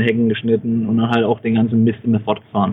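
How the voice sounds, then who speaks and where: A man at a very fast pace. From Franconia, Bavaria (Bamberg). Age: 30s. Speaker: inventor and small manufacturer. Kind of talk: interview.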